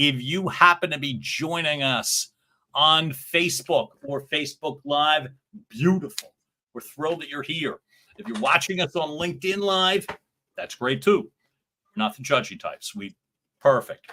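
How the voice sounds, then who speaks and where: Bright and sharp in tone, the speaker has a Philadelphia accent, ordinary pitch variation, big swings in loudness, and long, frequent pauses. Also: man, fairly high pitch for a man, moderate pace. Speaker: podcast co-host. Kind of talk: casual chat. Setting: livestream show.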